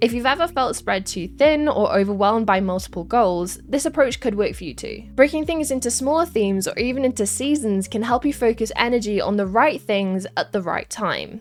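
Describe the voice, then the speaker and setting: With a Welsh accent, a woman talks at a fairly quick pace and fairly high pitch, her intonation lively and hardly any pauses between words. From Wales. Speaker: esports caster. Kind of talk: scripted vlog narration.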